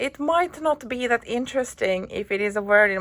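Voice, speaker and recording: A woman speaks with a Finnish accent at a moderate pace, her tone bright and sharp and her intonation lively. The recording is very clean, with a silent background. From Finland. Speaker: YouTuber. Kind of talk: casual vlog talk. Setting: hotel room. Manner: hesitant, many fillers.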